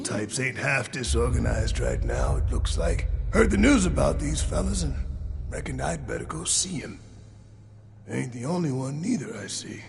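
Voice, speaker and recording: In a put-on character voice, a man drawls at a moderate pace against clear background noise. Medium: video game. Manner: folksy drawl, country grammar.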